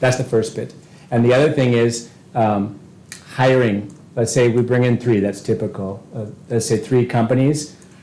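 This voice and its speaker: Here is a man with a plain, everyday voice and a medium pitch. He talks at a moderate pace with fairly even intonation. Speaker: school board member. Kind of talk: board meeting discussion.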